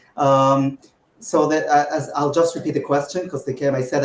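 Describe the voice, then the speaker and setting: At a moderate pace, a man talks in a fairly high pitch with a somewhat breathy voice. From Israel. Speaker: mafia game player. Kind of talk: interview. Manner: hesitant, many fillers.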